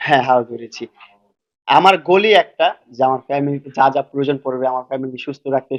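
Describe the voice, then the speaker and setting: Speaking at a medium pitch, a man has an unremarkable speaking voice. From Bangladesh, Dhaka. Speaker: social media creator. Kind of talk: interview.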